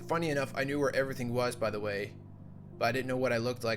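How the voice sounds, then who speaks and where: Music plays behind a man whose medium-pitched voice holds a monotone, flat intonation. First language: Dutch. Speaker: YouTuber and electronic musician. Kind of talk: casual monologue, recounting a dream. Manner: halting, many fillers.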